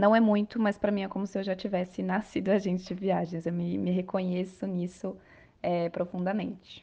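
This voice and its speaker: With a normal speaking voice, a woman talks at a moderate pace and medium pitch, her intonation fairly even. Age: 30s. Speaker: travel agency owner. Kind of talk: interview.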